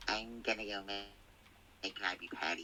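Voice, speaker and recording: Clear background noise runs under the clip. A man does a put-on character voice at a fairly low pitch and a moderate pace. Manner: cartoonish, cheerful.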